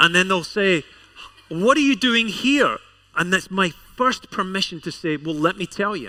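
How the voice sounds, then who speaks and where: A man projects a raised voice in a Scottish accent. His pitch is high and his intonation lively. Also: moderate pace. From Scotland. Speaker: pastor. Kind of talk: sermon. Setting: church service with congregation.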